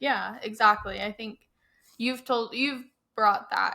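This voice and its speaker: A woman speaks fairly slowly with fairly even intonation. Hers is an unremarkable speaking voice. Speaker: podcast co-host, certified athletic trainer. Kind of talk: podcast conversation.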